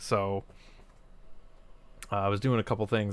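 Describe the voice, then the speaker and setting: A man with fairly even intonation, in a very clean recording with a silent background. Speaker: toy review streamer. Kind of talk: casual live stream gameplay chat. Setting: live stream. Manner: loud; halting, many fillers.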